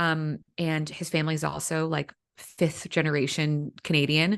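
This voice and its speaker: A woman with an American accent speaks at a moderate pace in a very deep, low voice against a quiet background. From US, Northern Virginia. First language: Vietnamese. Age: 30s. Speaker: executive coach and author. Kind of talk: casual chat. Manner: halting, many fillers.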